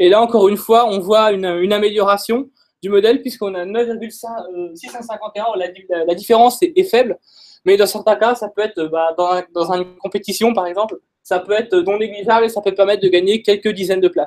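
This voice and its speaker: Against a quiet background, a man talks in a high pitch with fairly even intonation. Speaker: data scientist presenter; presenter. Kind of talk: technical talk. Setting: stage with audience.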